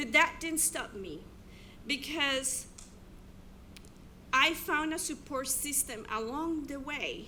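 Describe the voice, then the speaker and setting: Delivered at a fairly slow pace, this raised, projected voice has a bright, sharp tone and lively intonation, with audible room echo. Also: woman. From abroad, immigrated to US. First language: not English. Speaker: teacher. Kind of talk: keynote speech.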